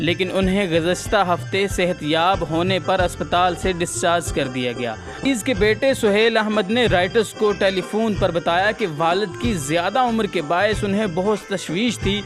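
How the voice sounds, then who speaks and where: Over music in the background, a high-pitched man speaks with very even loudness. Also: lively intonation. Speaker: news vlogger. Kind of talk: news report read to camera.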